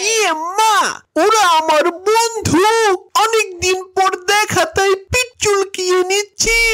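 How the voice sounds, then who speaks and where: In a cartoonish character voice, the speaker sounds whiny at an extremely high pitch. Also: fairly slow pace. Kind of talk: comic overacting. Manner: whiny catchphrase "ইয়ে মা" at every turn.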